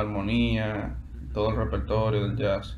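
With a Dominican accent and light background noise, a man speaks at a moderate pace in a very deep, low pitch with very wide pitch swings. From Dominican Republic, Santo Domingo. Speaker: guitarist and music student. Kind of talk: interview. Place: home room. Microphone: video call.

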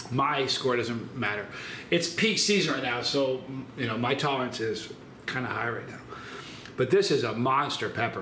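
A man speaks at a moderate pace. Audible room echo and light background noise come through. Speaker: hot pepper reviewer. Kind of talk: casual vlog chat. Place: kitchen. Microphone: phone near.

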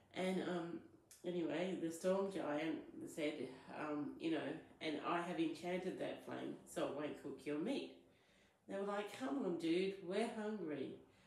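A woman speaks at a fairly slow pace in a fairly low pitch. Her pitch varies in an ordinary way, and the room echo is audible. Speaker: spiritual content creator. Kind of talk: storytelling vlog. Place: home room. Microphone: phone near.

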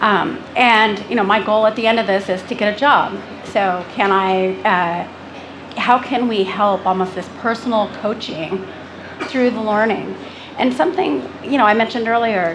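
A woman speaks at a moderate pace with fairly high pitch and ordinary pitch variation. Noticeable background noise runs behind her. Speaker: tech executive. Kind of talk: panel discussion. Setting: stage with audience. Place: stage.

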